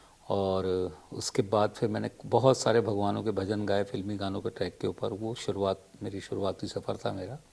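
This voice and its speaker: A man's fairly low voice with vocal fry, a dark, mellow tone and monotone, flat intonation. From Madhya Pradesh, India. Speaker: playback singer. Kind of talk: interview. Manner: hesitant, with filler sounds.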